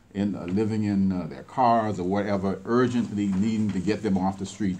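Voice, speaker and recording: A man with a fairly low voice speaks fairly quickly with fairly even intonation. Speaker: executive director of a veterans nonprofit, radio guest. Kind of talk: radio interview answer. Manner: hesitant, with frequent fillers.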